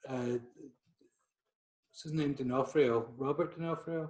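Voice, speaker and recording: A man with a Scottish accent speaks at a fairly slow pace. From Scotland. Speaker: portrait photographer. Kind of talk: podcast interview. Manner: halting.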